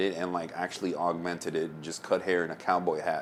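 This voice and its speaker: Against noticeable background noise, a man with an American accent talks very fast in a very deep, low voice with flat, monotone intonation. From US South. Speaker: DJ and podcast host. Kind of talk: casual chat.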